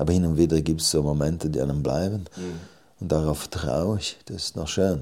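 Keeping his intonation fairly even, a man speaks with a very deep, low pitch. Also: moderate pace. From Switzerland, Graubünden (Surselva village). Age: 40s. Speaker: novelist. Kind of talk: interview at literary event.

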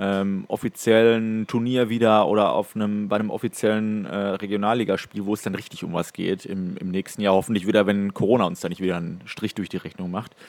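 Monotone and flat in intonation, a man talks at a fairly quick pace with a fairly low pitch. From Ruhr area, Germany (Datteln). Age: 20s. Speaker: hockey referee. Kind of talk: casual chat.

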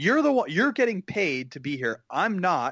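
An American accent at a moderate pace, with very wide pitch swings and a dry, close sound with no echo. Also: man. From Northern California, East Bay. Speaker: commercial actor and comedian. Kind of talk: casual chat. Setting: video call.

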